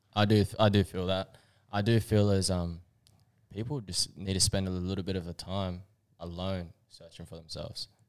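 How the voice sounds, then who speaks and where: A man with a very deep, low pitch and an Australian accent speaks at a moderate pace with fairly even intonation and big swings in loudness, on a very clean recording with a silent background. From Australia, Queensland (Bribie Island). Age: 20s. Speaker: podcast co-host. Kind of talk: casual chat.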